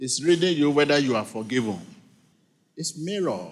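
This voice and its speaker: Here a man speaks at a moderate pace. His intonation is lively. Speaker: preacher leading a church service. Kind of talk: sermon delivered to a congregation. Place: church. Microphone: handheld.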